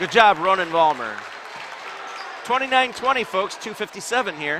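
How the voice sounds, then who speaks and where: A man projects a raised, high-pitched voice with lively intonation at a moderate pace. Crowd noise fills the background. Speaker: basketball play-by-play commentator. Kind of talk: live commentary. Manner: loud, yelling at times. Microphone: audio crackling when yelling.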